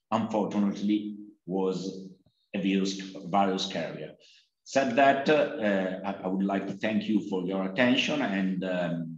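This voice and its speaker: A fairly slow voice with an Italian accent and audible room echo. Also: man, fairly low pitch for a man, ordinary pitch variation. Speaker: sociology professor. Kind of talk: academic presentation. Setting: video call.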